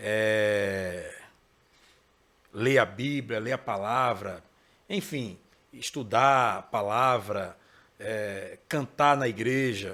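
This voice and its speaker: A man's voice at medium pitch with ordinary pitch variation and a bright, sharp tone, very slow and broken by long, frequent pauses, on a very clean recording with a silent background. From Pernambuco, Brazil (Recife metro area). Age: 40s. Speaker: gospel singer and songwriter. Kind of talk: interview. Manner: casual.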